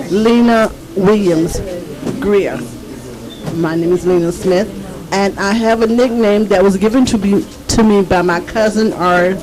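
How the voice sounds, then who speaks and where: Amid noticeable background noise, a woman speaks fairly slowly at a medium pitch, with ordinary pitch variation, very even loudness and long, frequent pauses. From southwest Georgia. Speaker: family member. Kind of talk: casual chat.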